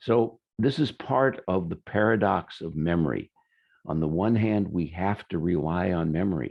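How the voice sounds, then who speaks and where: Lively intonation and vocal fry mark this man's very deep, low voice as he talks at a moderate pace. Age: 70s. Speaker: healer giving a webinar. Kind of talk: webinar talk. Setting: online webinar. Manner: halting, many fillers.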